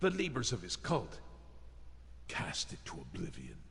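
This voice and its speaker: A man in a gruff, put-on character voice speaks at a moderate pace against clear background noise. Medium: video game. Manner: gruff, curt.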